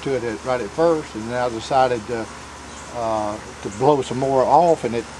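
Here a man talks at a fairly quick pace. Noticeable background noise runs behind him. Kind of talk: interview answer. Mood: amused, animated storytelling. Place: garden.

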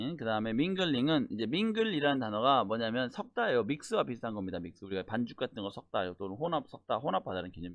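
Talking very fast with hardly any pauses, a man at medium pitch uses lively intonation. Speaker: English test instructor. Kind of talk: lecture. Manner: casual explanatory.

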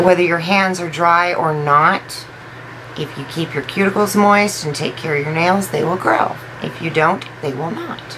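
There is noticeable background noise behind this woman. She talks at a moderate pace in a fairly low pitch. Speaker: beauty vlogger. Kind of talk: casual product unboxing video. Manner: animated, enthusiastic. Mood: enthusiastic, impressed. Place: home room. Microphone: phone near.

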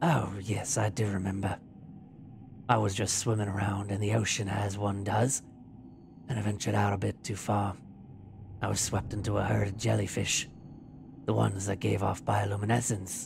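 A man uses a put-on character voice, raspy and fairly low, with fairly even intonation at a moderate pace. Long, frequent pauses break his speech, and clear background noise is present. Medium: read story. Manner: charming, tender, old-fashioned courtesy.

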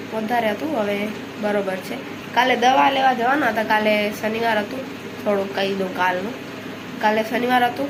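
A woman with a fairly high pitch is heard amid audible room echo and noticeable background noise. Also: ordinary pitch variation. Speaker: village vlogger. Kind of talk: casual vlog talk. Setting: outdoors in cotton field.

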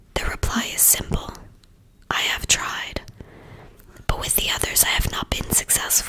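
The speaker whispers in a soft-spoken way at a moderate pace. Light background noise sits underneath. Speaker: reader of a children's book. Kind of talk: audiobook read-aloud. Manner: soft ASMR whisper reading aloud.

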